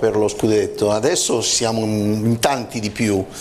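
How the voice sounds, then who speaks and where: Male voice with light background noise. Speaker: sports journalist. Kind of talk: studio football talk show. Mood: smiling, pleased. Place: studio. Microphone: lapel.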